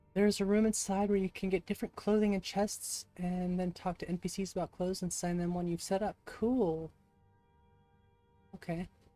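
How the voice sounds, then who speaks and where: A woman at a medium pitch, moderate pace and flat, monotone intonation, in a dry, close sound with no echo and music in the background. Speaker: streamer. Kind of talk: live gameplay stream chat.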